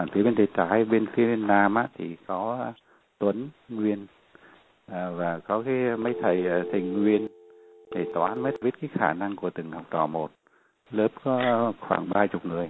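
A man's fairly low voice at a very slow pace, broken by long, frequent pauses. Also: ordinary pitch variation. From Vietnam. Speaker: refugee alumnus interviewee. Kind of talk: interview. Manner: halting.

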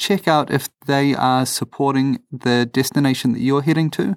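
With a New Zealand accent, the speaker keeps a moderate pace in a very clean recording with a silent background. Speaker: travel podcast co-host. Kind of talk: casual chat. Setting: holiday home, recording under a blanket. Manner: animated.

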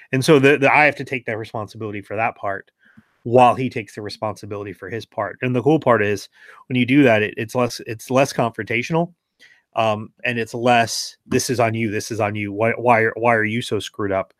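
The speech moves at a fairly quick pace with fairly even intonation, and the sound is dry and close with no echo. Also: man, medium pitch for a man. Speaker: pastor and Navy veteran. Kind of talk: casual interview. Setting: video call.

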